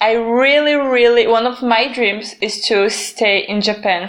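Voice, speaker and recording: The speaker has a Brazilian accent and ordinary pitch variation. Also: woman. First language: Portuguese. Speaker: podcast co-host. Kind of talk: casual chat.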